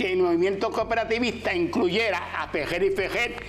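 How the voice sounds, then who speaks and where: A man with a high pitch talks at a fairly quick pace. There is audible room echo and noticeable background noise. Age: 80s+. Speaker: author and cooperative leader. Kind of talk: interview.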